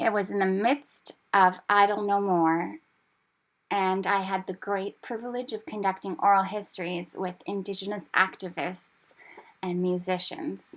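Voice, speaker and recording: An ordinary speaking voice from a woman with a Canadian accent, medium pitch, fairly even intonation and a fairly slow pace. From Canada. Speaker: language teacher. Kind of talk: personal narration.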